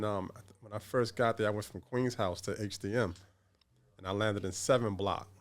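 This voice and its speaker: A man speaks with a New York accent at a fairly quick pace. His pitch sits fairly low. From New York City. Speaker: former gang member. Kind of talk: podcast interview.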